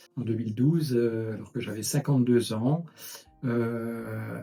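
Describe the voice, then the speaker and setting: A man at a medium pitch, very slow and fairly even in intonation, against noticeable background noise. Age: 60s. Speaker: retired engineer, patient with pulsatile tinnitus. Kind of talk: testimony. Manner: halting, many hesitations.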